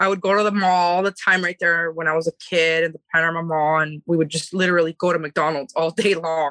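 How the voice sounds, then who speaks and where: A woman with an American accent talks at a fairly quick pace and a fairly low pitch, her tone bright and sharp. Her intonation is monotone and flat, her loudness very even, and the sound dry and close with no echo. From Panorama City, Los Angeles. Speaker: vegan food business owner. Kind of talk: casual interview. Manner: fast.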